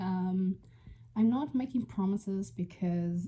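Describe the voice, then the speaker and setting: A woman speaks at a medium pitch and a very slow pace. Her voice is somewhat breathy, with lively intonation. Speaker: book vlogger. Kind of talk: casual vlog. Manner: hesitant, many fillers.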